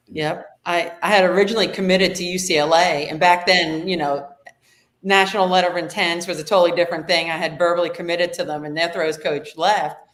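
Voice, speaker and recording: A woman's fairly low voice with a slight New Jersey accent, very fast and monotone, with flat intonation and audible room echo. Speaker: high school throws coach. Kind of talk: casual podcast interview.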